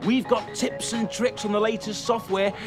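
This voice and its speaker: Energetic and upbeat, the voice moves at a moderate pace with ordinary pitch variation. Music plays in the background. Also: man. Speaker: TV presenter. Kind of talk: upbeat presenter link to camera. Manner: energetic, upbeat.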